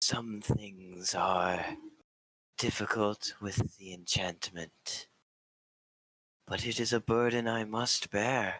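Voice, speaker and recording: Doing a put-on character voice, a man speaks at a very slow pace and a fairly low pitch, with fairly even intonation and long, frequent pauses. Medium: actual play. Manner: calm, formal.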